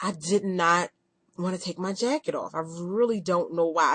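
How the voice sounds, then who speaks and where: A woman's normal speaking voice, medium in pitch, at a moderate pace with ordinary pitch variation, in a dry, close sound with no echo. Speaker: video blogger. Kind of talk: casual vlog update.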